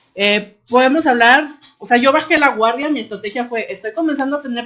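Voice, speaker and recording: At a fairly quick pace, a woman with a Guadalajara accent speaks with ordinary pitch variation. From Mexico, Guadalajara. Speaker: workplace team member. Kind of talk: casual podcast conversation. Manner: sounds blunt, harsh to others.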